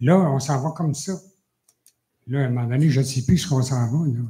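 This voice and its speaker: This man's voice sits at a fairly high pitch, with a dark, mellow tone, a somewhat breathy quality, and ordinary pitch variation. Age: 70s. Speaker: citizen at council question period. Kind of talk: public question at council meeting. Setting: municipal council meeting. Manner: halting.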